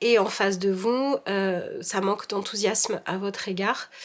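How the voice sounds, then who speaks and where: A woman speaks at a medium pitch. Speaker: tarot reader. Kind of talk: tarot reading. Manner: monotone.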